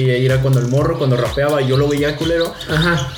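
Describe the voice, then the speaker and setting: Amid audible room echo and noticeable background noise, a man's speech moves fairly quickly. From Mexico City. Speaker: freestyle rapper. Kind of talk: interview.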